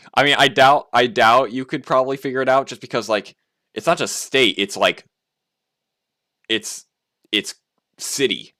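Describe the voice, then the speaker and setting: In a dry, close recording with no echo, a man with an American accent speaks in a bright, sharp tone marked by vocal fry. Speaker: game developer streamer. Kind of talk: casual live stream chat. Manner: animated.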